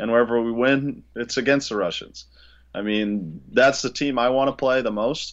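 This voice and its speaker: This man has a normal speaking voice, fairly even intonation, and a medium pitch. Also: moderate pace. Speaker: hockey podcast co-host. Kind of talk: casual hockey podcast chat.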